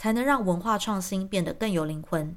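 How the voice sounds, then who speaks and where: Over a very clean recording with a silent background, a woman speaks in a plain, everyday voice. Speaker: YouTube commentator. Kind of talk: scripted monologue.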